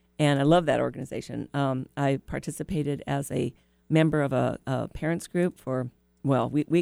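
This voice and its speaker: Music plays in the background as a woman speaks in a very deep, low pitch, the sound dry and close with no echo. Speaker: city council candidate. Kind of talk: interview.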